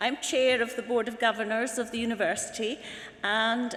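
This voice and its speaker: With a Scottish accent and a fairly high pitch, a woman speaks amid audible room echo. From northern Scotland. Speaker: university governing board chair. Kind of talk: ceremonial speech. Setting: hall with audience. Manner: formal.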